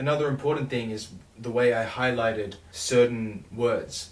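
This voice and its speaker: A man speaks with monotone, flat intonation. There is noticeable background noise and audible room echo. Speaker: songwriter vlogger. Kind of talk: casual vlog talk about songwriting.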